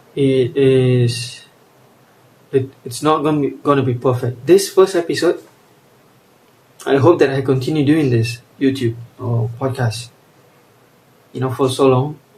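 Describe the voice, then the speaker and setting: A man talks fairly slowly at a medium pitch, with long, frequent pauses. His voice is somewhat breathy and his intonation fairly even. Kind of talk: casual monologue. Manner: halting.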